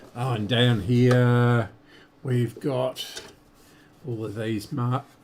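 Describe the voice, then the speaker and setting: Noticeable background noise sits behind a man at medium pitch. He speaks very slowly with fairly even intonation. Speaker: radio restoration hobbyist streamer. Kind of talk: live-stream tutorial. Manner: casual, halting with fillers.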